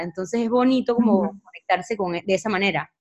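In a normal speaking voice, a woman speaks at a fairly high pitch with ordinary pitch variation against a quiet background. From Panama. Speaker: podcast host. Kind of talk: casual interview.

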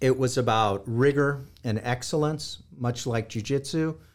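A man with a Californian accent speaks at a fairly slow pace in a very clean recording with a silent background. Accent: General American (Californian). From US West Coast (Los Angeles). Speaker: historian and war crimes investigator. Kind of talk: interview.

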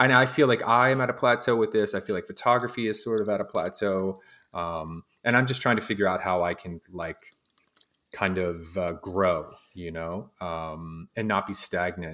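A man's fairly low voice with ordinary pitch variation, a bright, sharp tone and a moderate pace, on a very clean recording with a silent background. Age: 40s. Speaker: podcast host. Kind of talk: casual chat. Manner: animated.

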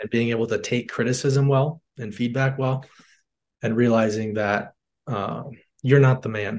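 A man speaks in a plain, everyday voice with an American accent, pitched in the middle of the male range. His pace is moderate and his intonation stays fairly even. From Michigan, north of Detroit. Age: 20s. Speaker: door-to-door salesman. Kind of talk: casual interview.

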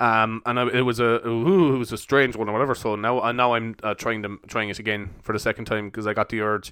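The recording is very clean, with a silent background, as a man speaks at a very fast pace with hardly any pauses. His bright, sharp tone sits at a medium pitch with fairly even intonation. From Ireland, Cork. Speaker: podcast host. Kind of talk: casual monologue. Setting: home recording.

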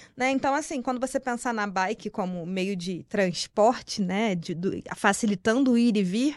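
With a Rio de Janeiro accent, a woman speaks at a moderate pace with hardly any pauses against a quiet background. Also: fairly high pitch for a woman, ordinary pitch variation. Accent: carioca. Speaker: marketing professional. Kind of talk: interview conversation.

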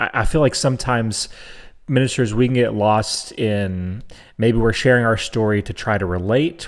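With an ordinary speaking voice, a man talks at medium pitch and a moderate pace with ordinary pitch variation, in a very clean recording with a silent background. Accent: American. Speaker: co-host. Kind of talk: casual chat.

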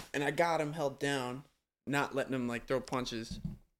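In a normal speaking voice, a man talks at a moderate pace with a medium pitch and fairly even intonation. The recording is very clean, with a silent background. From US Upper Midwest, Minneapolis. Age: 20s. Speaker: rapper and music producer. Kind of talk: casual chat.

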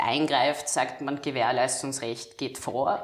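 Amid audible room echo, a woman talks at a very slow pace with ordinary pitch variation. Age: 20s. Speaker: lawyer and legal scholar. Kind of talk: interview about law.

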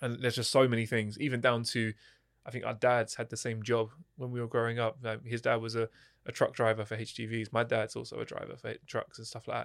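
A man with a southern English accent, very fast and monotone with flat intonation, in a very clean recording with a silent background. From Hertfordshire, England. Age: 30s. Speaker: kickboxing champion turned mental health coach. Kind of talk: podcast interview.

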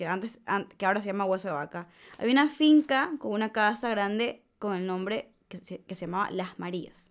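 In a very clean recording against a silent background, a woman with an ordinary speaking voice talks at a moderate pace with lively intonation. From Ecuador, Manabí coast. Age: 20s. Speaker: podcast host, medical student. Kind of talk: casual chat, storytelling. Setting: studio.

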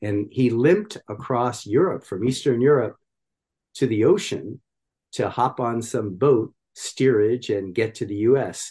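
Against a quiet background, a man with an American accent speaks fairly slowly at medium pitch, somewhat breathy, with a dark, mellow tone and ordinary pitch variation. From US, small town. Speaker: yoga teacher and social justice activist. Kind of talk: interview.

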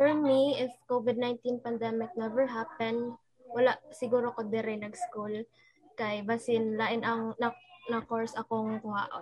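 A woman with a Visayan Filipino accent speaks at a fairly slow pace. Her pitch is fairly high and her intonation fairly even. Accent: Filipino (Cebuano) English. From Philippines, Cebu City. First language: Cebuano. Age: young. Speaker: university student. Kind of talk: casual chat.

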